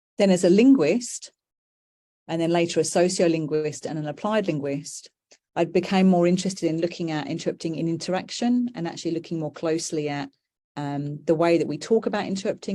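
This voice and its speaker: A woman with a British accent, her tone dark and mellow, fairly low in pitch, with ordinary pitch variation at a fairly quick pace against a quiet background. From UK. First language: British Sign Language. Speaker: professor. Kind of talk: lecture. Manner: hesitant with fillers.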